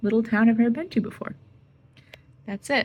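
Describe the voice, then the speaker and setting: A soft-spoken woman's somewhat breathy voice with a dark, mellow tone. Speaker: artist and travel vlogger. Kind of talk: casual vlog talk. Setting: hotel room.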